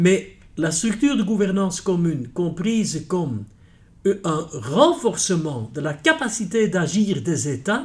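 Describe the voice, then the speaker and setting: In a Dutch accent, a man speaks very slowly at a high pitch, his pitch swinging very widely. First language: Dutch (speaking French). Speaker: senior judge, president of a European court. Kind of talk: interview.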